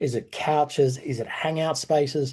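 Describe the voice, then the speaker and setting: A somewhat breathy man with a dark, mellow tone and an Australian accent, over a quiet background. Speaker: workshop facilitator. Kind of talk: online workshop presentation. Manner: fast when worried about time.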